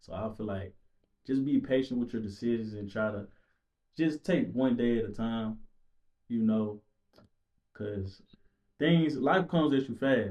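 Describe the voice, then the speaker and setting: The speaker talks at a fairly slow pace with long, frequent pauses and ordinary pitch variation. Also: man, medium pitch for a man. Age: 20s. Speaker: podcast guest. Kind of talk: casual chat.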